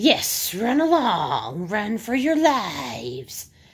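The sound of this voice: A put-on character voice, female-sounding and fairly high-pitched, raspy and hissing, at a very slow pace with very wide pitch swings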